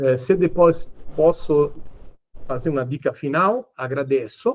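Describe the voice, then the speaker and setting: A man speaks in an Italian accent. His pitch sits fairly high. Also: ordinary pitch variation, fairly slow pace. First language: Italian (speaking Portuguese). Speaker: lawyer. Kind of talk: panel talk. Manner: hesitant, many fillers.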